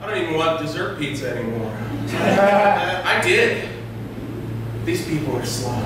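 A man talking at a fairly slow pace amid strong room echo and noticeable background noise. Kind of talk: comedic sketch performance. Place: stage.

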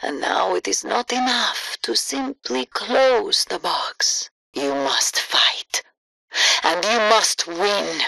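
Using a put-on character voice, a woman speaks slowly with a bright, sharp tone and vocal fry. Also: medium pitch for a woman, ordinary pitch variation, dry, close sound with no echo.

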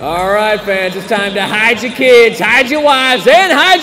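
A man talks at a moderate pace, with light background noise behind him. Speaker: public address announcer. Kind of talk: hyped-up crowd-engaging PA announcement. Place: stadium. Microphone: studio mic.

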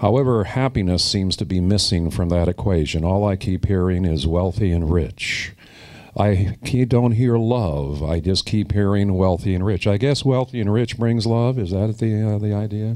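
Against a quiet background, a man speaks in a fairly low, dark, mellow voice with ordinary pitch variation. His loudness stays very even. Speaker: metaphysical minister and lecturer. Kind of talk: inspirational lecture with guided healing treatment. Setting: lecture hall with seated audience. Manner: slow. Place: stage. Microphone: handheld.

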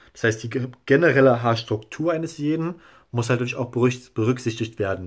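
At a fairly quick pace, a man speaks somewhat breathily with ordinary pitch variation. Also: quiet background. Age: 20s. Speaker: YouTuber documenting his hair transplant; vlogger sharing a hair transplant result. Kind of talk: casual video blog; casual vlog chat. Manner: hesitant, filler-heavy. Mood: calm, satisfied. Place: home room. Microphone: phone near.

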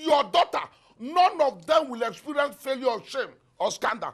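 With a Nigerian accent, a man talks at an extremely high pitch, his tone bright and sharp. His delivery is animated, with very wide pitch swings, over a quiet background. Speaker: pastor. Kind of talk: sermon with fervent prayer and decrees. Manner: fervent, animated, preaching. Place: studio. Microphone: lapel.

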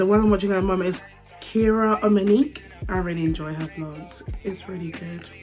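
Over faint background music, a woman speaks at a fairly quick pace with fairly even intonation. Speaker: vlogger. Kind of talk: casual vlog chat. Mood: relaxed, chatty. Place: home room. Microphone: phone near.

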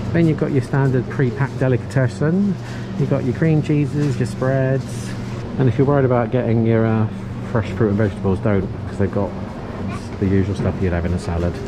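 Fairly quick speech over noticeable background noise. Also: man. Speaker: vlogger. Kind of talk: casual vlog chat. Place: shop. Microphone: phone near.

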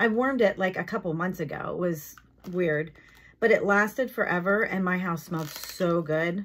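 Pitch moves up and down in an ordinary way. The speech comes at a moderate pace. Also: woman. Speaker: product haul vlogger. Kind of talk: casual vlog chat. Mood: relaxed, enthusiastic. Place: home room. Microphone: phone near.

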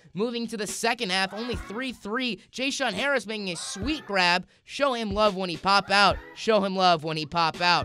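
Over background music, a man with a high pitch and ordinary pitch variation uses a raised, projected voice and an upbeat, playful tone at a moderate pace. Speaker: sports commentator. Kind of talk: comedic sportscast update.

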